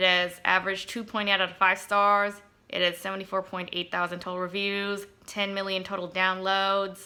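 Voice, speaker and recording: Moderate pace, monotone, flat intonation, and a bright, sharp tone. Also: woman. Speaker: vlogger. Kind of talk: casual vlog talk to camera. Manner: hesitant, pausing between sentences.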